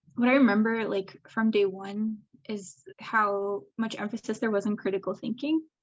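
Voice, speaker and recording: A woman with a Canadian accent, fairly high pitch, a somewhat breathy quality, ordinary pitch variation and a moderate pace. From rural Eastern Ontario, Canada. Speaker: public health evaluator. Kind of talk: casual interview. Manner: frequent fillers (like, um).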